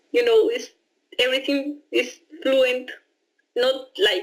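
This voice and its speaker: Speaking at a fairly slow pace, a woman with a high pitch uses lively intonation. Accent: Spanish. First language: Spanish. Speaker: au pair. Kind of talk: interview testimony. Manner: halting, with repetitions and fillers.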